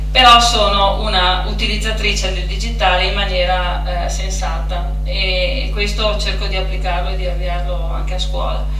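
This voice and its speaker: A woman speaks at a moderate pace with a very deep, low pitch and hardly any pauses. Her intonation is monotone and flat, with noticeable background noise and audible room echo. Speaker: school staff member introducing speaker. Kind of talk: event introduction. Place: hall.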